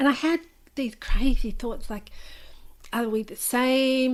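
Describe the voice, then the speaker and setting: An Australian-accented woman. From Australia, New South Wales (Newcastle). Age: 50s. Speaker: memoir author. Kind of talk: interview.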